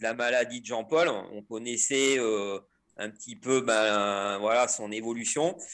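This man speaks at a very slow pace, at a medium pitch with ordinary pitch variation. The recording is very clean and the background silent. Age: 50s. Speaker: mountain professional and ultra trail runner. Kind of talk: casual interview. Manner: hesitant, many fillers.

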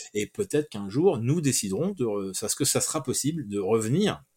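Over a silent background on a very clean recording, a man speaks with lively intonation at a moderate pace. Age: 50s. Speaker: comic book writer. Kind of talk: interview. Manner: halting.

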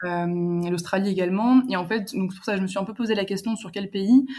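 Speaking at a fairly quick pace, a woman uses a normal speaking voice of medium pitch. Her intonation stays fairly even. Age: 20s. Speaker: student traveller. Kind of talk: casual interview.

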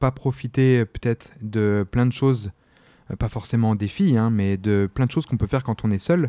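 At a moderate pace, a man speaks with a medium pitch, ordinary pitch variation and a dark, mellow tone, the recording very clean with a silent background and a dry, close sound with no echo. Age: 20s. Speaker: podcast guest. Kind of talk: casual interview. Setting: studio in Paris.

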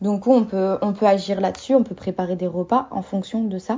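At a fairly slow pace, a woman talks in a plain, everyday voice, at a medium pitch with fairly even intonation. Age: 20s. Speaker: doula and naturopath. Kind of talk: interview.

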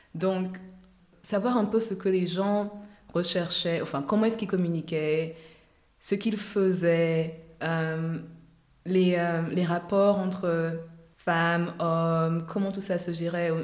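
With an Ivorian accent, a woman speaks at a fairly low pitch and a very slow pace, with fairly even intonation and long, frequent pauses, amid audible room echo and noticeable background noise. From Côte d'Ivoire, Abidjan. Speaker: cosmetics entrepreneur. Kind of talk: interview.

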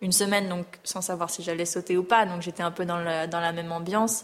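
Delivery comes at a fairly quick pace in a monotone, flat intonation. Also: woman. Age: 30s. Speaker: show jumping rider. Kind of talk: interview. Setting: on location at a stable.

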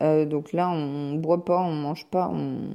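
A woman with a dark, mellow tone speaks at a fairly slow pace in a very clean recording with a silent background. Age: 30s. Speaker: podcaster on energy healing and wellbeing. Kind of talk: casual solo book review. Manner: hesitant, many fillers.

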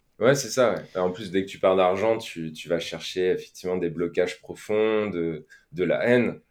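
With a normal speaking voice, a man talks at a moderate pace in a fairly low pitch, his pitch varying in an ordinary way and his loudness swinging widely, all in a very clean recording with a silent background. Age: 30s. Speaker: financial independence podcaster, former engineer. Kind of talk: casual interview.

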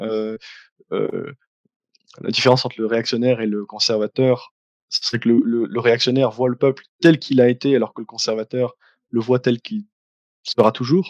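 At a moderate pace, a man with a medium-pitched voice speaks with fairly even intonation, the sound dry and close with no echo. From Belgium, Liège. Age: 20s. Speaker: YouTuber, philosophy student. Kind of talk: interview.

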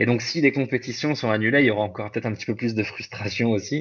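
Here a man talks at a fairly quick pace. His medium pitch has ordinary variation. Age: 20s. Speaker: bodybuilder and fitness coach. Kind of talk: casual interview. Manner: halting.

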